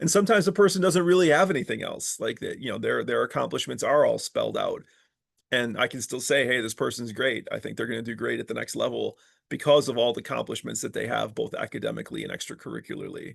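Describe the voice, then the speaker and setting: Everything around the speaker is quiet. The words come out very fast. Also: man. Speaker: professor and department chair. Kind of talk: advising talk.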